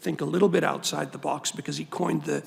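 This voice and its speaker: Noticeable background noise is heard as a man talks. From Lebanon. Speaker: cancer researcher and physician. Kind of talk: panel testimony. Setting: Senate forum.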